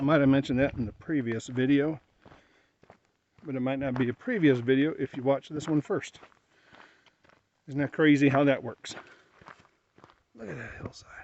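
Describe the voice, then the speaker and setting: Quiet overall yet with big swings in loudness, a man with a fairly high pitch talks at a moderate pace with fairly even intonation and long, frequent pauses. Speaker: travel vlogger. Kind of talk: vlog narration while hiking. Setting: outdoors. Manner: soft-spoken.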